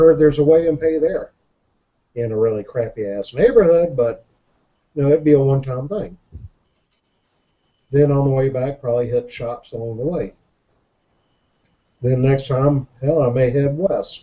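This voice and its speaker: A somewhat breathy man at a fairly high pitch, moderate pace, with long, frequent pauses. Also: ordinary pitch variation. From Jacksonville, Florida. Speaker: show guest, reseller. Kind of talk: casual chat.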